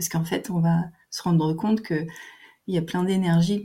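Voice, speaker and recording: This woman's voice is fairly low in pitch, with a dark, mellow tone and a somewhat breathy quality. She speaks at a moderate pace with fairly even intonation. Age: 50s. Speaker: naturopath. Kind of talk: interview. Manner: hesitant, many fillers.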